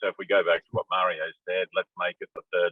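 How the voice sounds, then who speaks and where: This is a man speaking with an Australian accent. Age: 60s. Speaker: panel discussant. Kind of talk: panel discussion.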